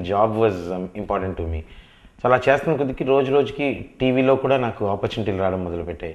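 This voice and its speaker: Here a man talks in an unremarkable speaking voice. His pitch is fairly low, with ordinary pitch variation. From Hyderabad, India; India. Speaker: film actor. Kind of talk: interview. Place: office. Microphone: lapel.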